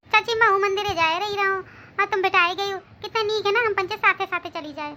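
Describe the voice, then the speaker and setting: A woman in a cartoonish character voice talks at a very fast pace with extremely high pitch and fairly even intonation. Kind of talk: village comedy cartoon dialogue. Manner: sweet-talking, wheedling.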